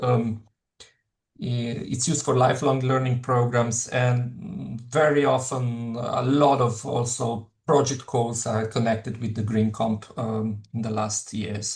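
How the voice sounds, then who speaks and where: Speaking with a Slovenian accent, a man uses a medium pitch and fairly even intonation. His somewhat breathy delivery moves at a very slow pace. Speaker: professor. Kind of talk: lecture. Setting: webinar. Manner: halting, many fillers.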